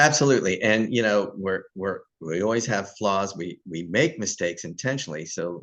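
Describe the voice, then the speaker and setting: A man with a fairly low pitch talks in an ordinary speaking voice at a moderate pace, with lively intonation and hardly any pauses. The background is quiet. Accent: American. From US South. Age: 60s. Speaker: YouTube host. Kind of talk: casual interview chat.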